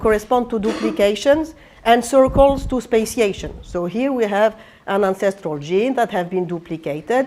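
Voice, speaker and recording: A woman's fairly high voice with a French accent, lively in intonation and moderate in pace. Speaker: computational biology professor. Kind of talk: lecture. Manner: halting, many fillers and restarts.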